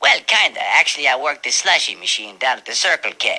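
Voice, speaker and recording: A man's put-on character voice, fairly high-pitched and fairly quick. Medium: read story.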